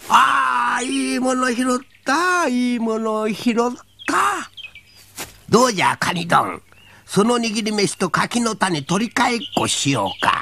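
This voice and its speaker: Someone uses a put-on character voice with a fairly high pitch at a fairly slow pace. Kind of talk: folk tale character acting. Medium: read story. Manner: sly, wheedling, mocking.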